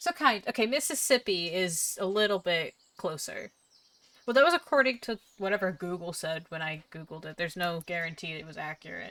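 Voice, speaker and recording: Bright and sharp in tone, a woman speaks with a slight Southern US accent. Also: medium pitch for a woman, lively intonation. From US South, Jacksonville, Northeast Florida. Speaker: streamer. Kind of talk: casual gaming stream chat. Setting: live stream, home setup. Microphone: new audio setup, possible audio issues.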